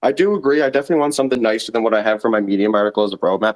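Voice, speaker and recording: Very fast speech in a Newfoundland accent, with ordinary pitch variation and a dry, close sound with no echo. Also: man. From Newfoundland, Canada. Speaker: NFT project founder pitching. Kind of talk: casual chat.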